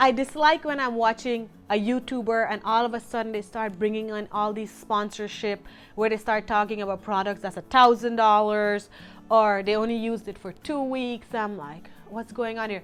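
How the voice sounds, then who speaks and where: Music plays in the background. A woman with a non-native accent speaks in a fairly high pitch. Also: moderate pace. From Guyana. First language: not English. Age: 30s. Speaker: lifestyle vlogger. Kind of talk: casual vlog talk to camera.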